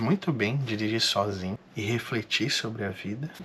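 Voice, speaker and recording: A man speaks fairly slowly while noticeable background noise fills the recording. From Brazil, interior of São Paulo state (Marília). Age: 30s. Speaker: vlogger. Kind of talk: personal vlog monologue.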